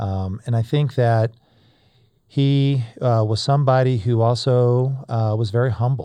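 The background is quiet as a man with an American accent talks at a medium pitch. His tone is dark and mellow, with fairly even intonation. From US South (North Florida). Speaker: corporate executive. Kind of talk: interview.

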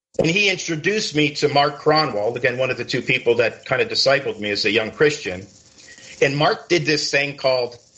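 A man's unremarkable speaking voice with an American accent, fairly high in pitch, at a moderate pace with lively intonation. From Connecticut. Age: 60s. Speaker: biker ministry author and content creator. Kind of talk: interview.

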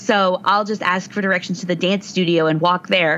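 Speech moves at a moderate pace. Noticeable background noise runs underneath. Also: woman. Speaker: librarian and podcaster. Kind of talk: casual chat. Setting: remote recording over computer.

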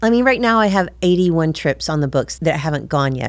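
Speaking at a fairly quick pace, a woman uses a very deep, low pitch and lively intonation. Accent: American. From US South, northwest Georgia near Chattanooga. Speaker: travel agency owner, former actress. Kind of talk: interview.

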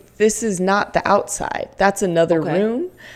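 A plain, everyday voice belongs to this woman, pitched in the medium range. She talks at a moderate pace. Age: 30s. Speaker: comedian and voice-over actor. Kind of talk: casual chat, comedic pitch.

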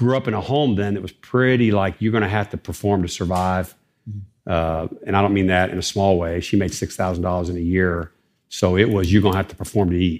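A man with an American accent speaks in a very deep, low voice at a fairly quick pace. His intonation is fairly even, and the background is quiet. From Ohio, US Midwest. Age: 50s. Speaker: counselor to pastors. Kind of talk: live interview. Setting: stage with audience.

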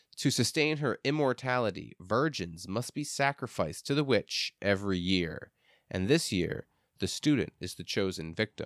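At a moderate pace, a man with medium pitch makes very wide pitch swings in a dry, close sound with no echo. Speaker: podcast host. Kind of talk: casual chat, profane banter. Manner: profane, animated.

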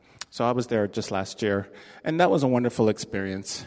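A man talks at a fairly quick pace in a normal speaking voice. His intonation is fairly even. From Canada, Toronto. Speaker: theater technical director. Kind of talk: interview before a live audience.

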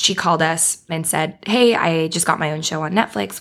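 A woman with an American accent and a plain, everyday voice speaks at a moderate pace in a fairly low pitch, on a very clean recording with a silent background. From Beaverton, near Portland, Oregon. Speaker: TV writer. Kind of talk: casual interview chat.

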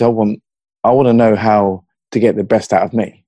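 The voice has a dark, mellow tone and a slight southern English accent at a moderate pace. The sound is dry and close, with no echo. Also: man. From Hertfordshire, England. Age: 40s. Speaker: mental health advocate. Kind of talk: casual interview conversation. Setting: video call across time zones.

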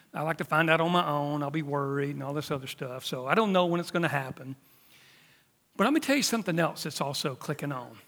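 In a very clean recording with a silent background, a man with an American accent talks at a very fast pace, at a fairly high pitch with ordinary pitch variation. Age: 50s. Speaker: preacher. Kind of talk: sermon. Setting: church.

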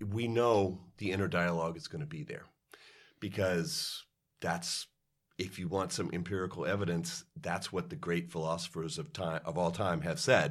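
A man with a very deep, low pitch uses lively intonation. The recording is very clean, with a silent background. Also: moderate pace. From Kentucky. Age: 50s. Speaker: orchestral musician. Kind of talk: interview.

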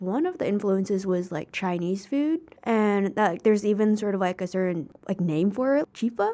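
Delivered at a moderate pace with an American accent, the voice has a dark, mellow tone, ordinary pitch variation and hardly any pauses. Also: woman, medium pitch for a woman. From United States. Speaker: podcast host. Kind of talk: casual interview. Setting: studio.

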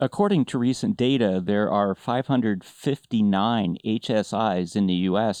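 Recorded with a dry, close sound, no echo and a quiet background, a man speaks at a fairly slow pace and fairly low pitch, his tone dark and mellow and his pitch variation ordinary. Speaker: podcast host and business academic. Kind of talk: interview.

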